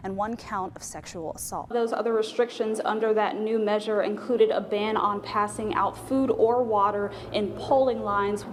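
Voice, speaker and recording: Against music in the background, a woman with a fairly high pitch speaks at a moderate pace with fairly even intonation and hardly any pauses. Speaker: TV news reporter and anchor. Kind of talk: TV news reporting.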